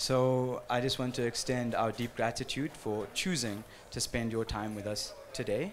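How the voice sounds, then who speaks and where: Over light background noise, a man with a South African accent speaks at a fairly slow pace. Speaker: panel moderator and teacher. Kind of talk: panel moderation. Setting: stage with audience. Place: hall.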